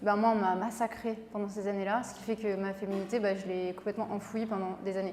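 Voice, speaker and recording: Amid audible room echo, a woman speaks at a fairly quick pace and medium pitch, with hardly any pauses and monotone, flat intonation. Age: 20s. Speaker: beauty pageant winner and pharmacist. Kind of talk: interview.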